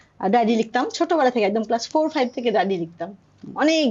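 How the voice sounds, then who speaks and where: A woman's unremarkable speaking voice, fairly high in pitch, with lively intonation. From Dhaka, Bangladesh. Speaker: poet, writer and translator. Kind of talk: interview conversation.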